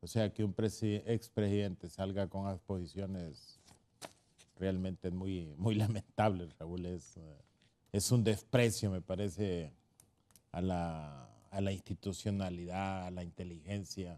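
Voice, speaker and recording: A man's very deep, low voice with a dark, mellow tone, fairly slow in pace and fairly even in intonation. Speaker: political panelist. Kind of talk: political talk show debate.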